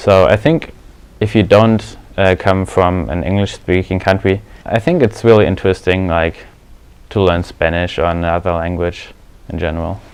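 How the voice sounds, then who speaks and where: Speaking in a German accent, a man uses a very deep, low pitch. His pace is moderate and his pitch variation ordinary. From Germany. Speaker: exchange student. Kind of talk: interview.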